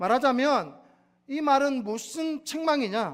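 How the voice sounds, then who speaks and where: Speaking with a Gyeongsang accent and lively intonation, a man with an extremely high pitch is heard on a very clean recording with a silent background. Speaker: pastor. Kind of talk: sermon.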